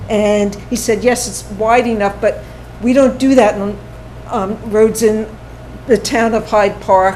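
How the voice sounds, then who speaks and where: A woman speaks in a fairly high voice at a fairly slow pace. Her intonation is monotone and flat. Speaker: public commenter at town meeting. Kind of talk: public comment at town board meeting. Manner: halting.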